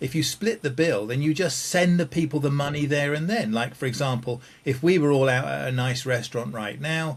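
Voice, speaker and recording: Somewhat breathy and fairly high-pitched, a man talks at a fairly quick pace with hardly any pauses and ordinary pitch variation. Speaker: game show panelist. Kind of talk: timed improvised monologue. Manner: fluent, fast.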